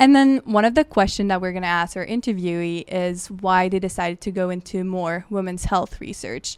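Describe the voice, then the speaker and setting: This woman has a French Canadian accent and a medium pitch. She talks at a fairly quick pace with hardly any pauses and ordinary pitch variation. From Quebec. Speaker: podcast co-host, graduate researcher. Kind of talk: casual chat.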